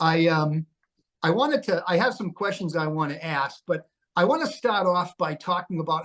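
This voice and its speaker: Speaking at a moderate pace, a man uses a high pitch. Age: 60s. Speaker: network marketing podcast host. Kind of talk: casual interview chat.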